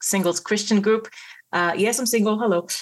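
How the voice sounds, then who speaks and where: A woman with an Israeli accent speaks with fairly even intonation against a quiet background. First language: Hebrew. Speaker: Messianic believer sharing a vision. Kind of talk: testimony. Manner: halting.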